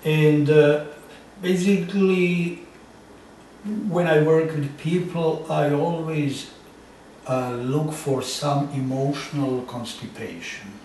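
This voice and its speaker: A man with a strong non-native accent speaks at a very slow pace, his intonation fairly even, with long, frequent pauses. Noticeable background noise and audible room echo surround him. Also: fairly high pitch for a man. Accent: thick foreign. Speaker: psychotherapist. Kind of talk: interview. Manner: halting.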